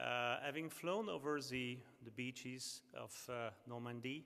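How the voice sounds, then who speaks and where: A man with a French accent speaks in a medium pitch. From France. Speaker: sponsor company representative. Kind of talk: award ceremony speech. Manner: halting, many fillers.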